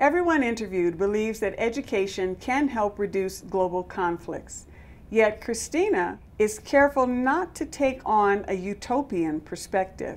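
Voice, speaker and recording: A woman speaks with a fairly high pitch. Her intonation is lively. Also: moderate pace, hardly any pauses. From US, Compton, California; California. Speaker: travel show host, yoga teacher. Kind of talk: scripted narration. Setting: filmed in Tanzania. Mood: warm, engaged. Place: studio.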